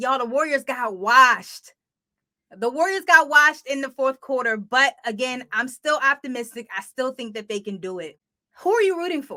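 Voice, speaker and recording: In an American accent, a woman projects a raised voice with a bright, sharp tone, high pitch and lively intonation at a moderate pace. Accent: Delaware accent, comes out now and then. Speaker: podcast host, sports industry professional. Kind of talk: casual podcast monologue. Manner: casual, conversational.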